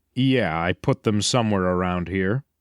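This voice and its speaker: In a put-on character voice with very deep, low pitch, a man speaks at a moderate pace, the sound dry and close with no echo on a very clean recording with a silent background. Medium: read story. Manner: sarcastic, joking.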